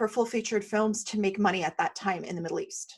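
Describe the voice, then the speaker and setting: A woman with an American accent and a fairly high pitch against a quiet background. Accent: American-sounding. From Syria. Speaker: skincare company founder. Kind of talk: interview storytelling. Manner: animated.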